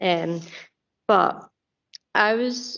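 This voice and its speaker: A woman speaks with a Scottish accent. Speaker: youth representative on council committee. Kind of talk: committee meeting questioning. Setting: council committee meeting.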